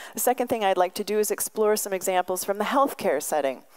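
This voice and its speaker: A woman's fairly quick delivery with ordinary pitch variation over a quiet background. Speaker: visiting professor giving a lecture. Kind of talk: lecture. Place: hall. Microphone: podium.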